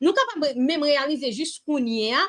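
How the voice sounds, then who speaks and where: A woman speaks at a moderate pace, her pitch swinging very widely. The background is quiet. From Haiti. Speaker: online Bible study leader; Bible study teacher. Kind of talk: Bible reading and commentary livestream. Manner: animated. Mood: warm, earnest. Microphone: webcam.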